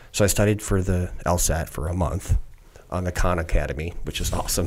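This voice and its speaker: An American-accented man with a very deep, low voice, somewhat breathy, at a moderate pace. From US Midwest, southeastern Wisconsin. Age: 50s. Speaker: retired navy special forces, congressional candidate. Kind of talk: long-form interview, casual chat. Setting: studio. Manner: animated.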